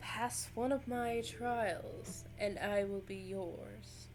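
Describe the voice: A raspy, put-on character voice speaks at a very slow pace. Clear background noise runs underneath. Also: woman, medium pitch for a woman.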